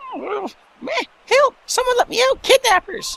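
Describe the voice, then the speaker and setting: A put-on character voice at an extremely high pitch, delivered at a very slow pace. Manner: panicked, pleading.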